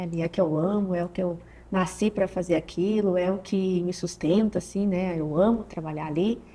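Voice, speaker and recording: The voice has a dark, mellow tone. It moves along at a moderate pace. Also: woman. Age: 30s. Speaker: physiotherapist and mother, podcast guest. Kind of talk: casual interview conversation.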